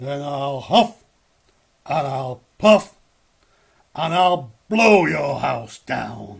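A man growls in a put-on character voice at a very slow pace. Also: fairly high pitch for a man. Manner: shouted, threatening.

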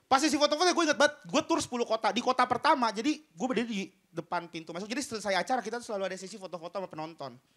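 Over a quiet background, a man talks very fast in an animated, bright, sharp tone. His voice is extremely high with very wide pitch swings. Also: big swings in loudness. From Bima, Sumbawa, Indonesia. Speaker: stand-up comedian. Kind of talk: stand-up comedy. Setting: stage with audience. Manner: animated, fast, punchline-driven with jokes and crowd-work asides. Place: stage. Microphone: handheld.

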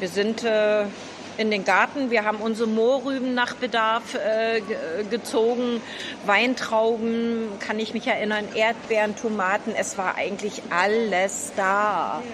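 With noticeable background noise, a woman speaks very slowly in a fairly high pitch with monotone, flat intonation. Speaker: senior cooking group host. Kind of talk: interview. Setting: cooking school kitchen in a market hall. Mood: nostalgic, reminiscing. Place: kitchen.

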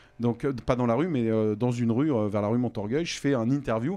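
A man is speaking with a dark, mellow tone. His pitch varies in an ordinary way. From western France (Vendée); western France. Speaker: radio host and comedian; radio host, comedian. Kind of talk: casual interview. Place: studio. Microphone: studio mic.

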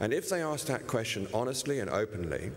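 This is a man speaking. He has a British accent. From England. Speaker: climate finance executive. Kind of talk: panel discussion. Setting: stage with audience.

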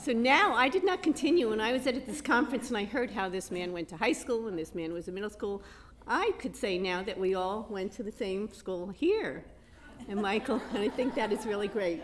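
Light background noise sits under a woman talking at a fairly quick pace. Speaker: event host. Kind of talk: introduction speech. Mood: warm, amused. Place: hall. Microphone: handheld.

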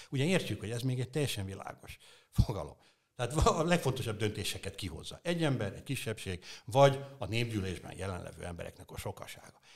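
Over a quiet background, a man talks at a very fast pace, somewhat breathy, with very wide pitch swings and big swings in loudness. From Hungary. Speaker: political philosopher; interview guest. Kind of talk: interview. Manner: halting. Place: studio. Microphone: studio mic.

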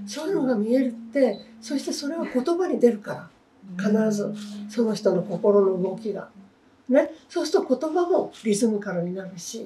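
Over light background noise, a woman with a fairly high pitch talks at a moderate pace, her pitch swinging very widely and her loudness rising and falling sharply. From Tokyo, Japan. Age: 80s+. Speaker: children's book author. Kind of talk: interview answer. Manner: casual, chatty. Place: home room. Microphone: lapel.

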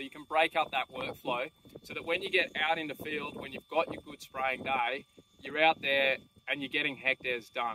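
At a moderate pace, a man talks with fairly even intonation in a dry sound with no echo, over noticeable background noise. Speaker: drone seller. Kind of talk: tutorial. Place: open country.

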